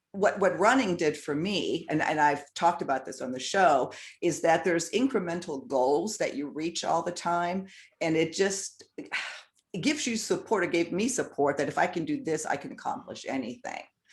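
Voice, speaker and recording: Against a quiet background, a woman with an unremarkable speaking voice talks at a moderate pace, her pitch fairly low and her intonation lively. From Southern California. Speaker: YouTube show host and producer. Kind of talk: interview conversation.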